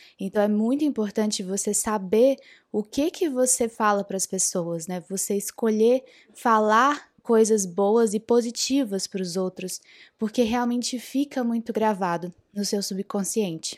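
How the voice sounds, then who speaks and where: A woman with an unremarkable speaking voice talks at a fairly slow pace in a fairly high pitch with ordinary pitch variation, recorded very cleanly against a silent background with a dry, close sound and no echo. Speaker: podcast host on spirituality and self-knowledge. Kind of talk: casual monologue. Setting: podcast recording.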